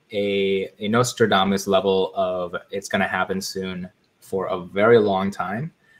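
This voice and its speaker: Talking at a fairly slow pace, a man with an American accent has an ordinary speaking voice in a fairly low pitch. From Chicago. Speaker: investing content creator. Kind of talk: casual interview chat.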